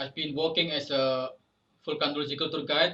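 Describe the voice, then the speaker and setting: At a moderate pace, a man with an Indonesian accent speaks in a monotone, flat intonation, his fairly high voice bright and sharp in tone. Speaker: podcast host, volcano tour guide. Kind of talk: casual interview. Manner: halting.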